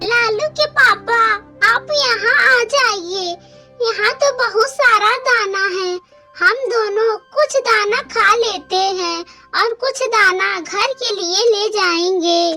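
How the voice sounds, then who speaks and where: A cartoonish character voice speaks at a very slow pace. Faint music plays in the background. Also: female-sounding voice, extremely high pitch for a woman. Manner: motherly, gentle.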